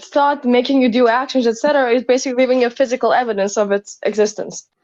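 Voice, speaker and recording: A woman with a non-native accent speaks fairly quickly in a high voice with fairly even intonation. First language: not English. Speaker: caller in debate. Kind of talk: casual philosophical debate. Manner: halting, searching for words.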